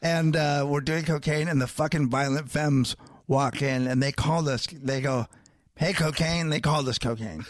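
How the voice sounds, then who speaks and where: A man speaks in a normal speaking voice, fairly high in pitch, at a moderate pace. His intonation is fairly even and his loudness very even. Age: 40s. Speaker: comedian and podcaster. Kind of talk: casual chat.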